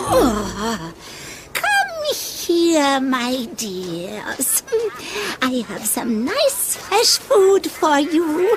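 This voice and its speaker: In a cartoonish character voice, a woman speaks at a very slow pace with a high pitch and very wide pitch swings over clear background noise. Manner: wheedling, cryptic.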